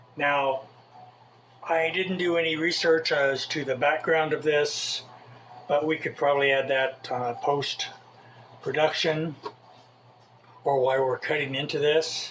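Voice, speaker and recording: With noticeable background noise behind him, a man speaks at a very slow pace and a fairly high pitch, leaving long, frequent pauses. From Southern California (Mojave Desert). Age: 60s. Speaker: cooking video host. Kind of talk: cooking tutorial. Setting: home kitchen. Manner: casual, hesitant with fillers.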